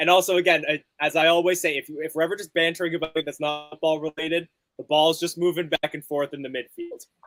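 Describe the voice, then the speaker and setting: Over background music, a man with a Canadian accent talks very fast with hardly any pauses, his fairly high voice monotone and flat, recorded dry and close with no echo. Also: big swings in loudness. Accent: Canadian North American accent, rhotic. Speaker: football fan watchalong co-host. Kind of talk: casual chat with live match commentary. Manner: speaks quickly at times.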